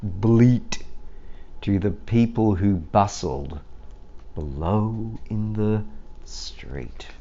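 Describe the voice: At a very slow pace, a man talks in a dark, mellow tone with ordinary pitch variation. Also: fairly low pitch for a man.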